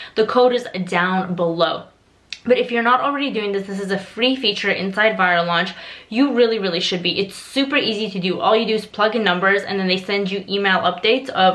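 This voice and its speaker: Noticeable background noise accompanies a woman speaking fairly quickly, her medium pitch varying in an ordinary way. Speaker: Amazon seller and online course creator. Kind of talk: tutorial. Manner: casual, conversational with fillers.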